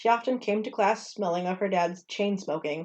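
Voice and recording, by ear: The voice reads aloud naturally, and its pitch varies in an ordinary way.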